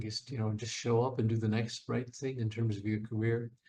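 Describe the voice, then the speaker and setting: Dark and mellow in tone, a somewhat breathy male voice pitched in the middle range. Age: 70s. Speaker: Broadway actor and singer. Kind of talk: interview. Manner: halting, repeats words.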